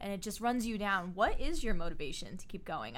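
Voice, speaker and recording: A plain, everyday voice from a woman, moderate in pace, with ordinary pitch variation. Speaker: podcast co-host. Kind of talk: casual interview.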